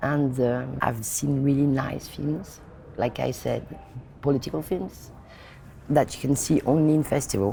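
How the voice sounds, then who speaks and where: With a French accent, a woman speaks at a fairly slow pace in a very deep, low pitch with ordinary pitch variation. Long, frequent pauses come through over noticeable background noise. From France. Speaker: film director. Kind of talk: interview. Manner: halting.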